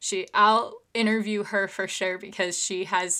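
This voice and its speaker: On a very clean recording with a silent background, a woman speaks in a bright, sharp tone with monotone, flat intonation. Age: 20s. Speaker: podcast host, teacher. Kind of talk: casual monologue. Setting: home recording in her room.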